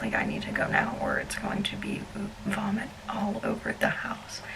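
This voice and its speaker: Whispering at a moderate pace, a woman is heard with audible room echo and noticeable background noise. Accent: American. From US South, South Alabama. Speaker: travel vlogger. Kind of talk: casual vlog storytelling. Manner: shaky, fidgety.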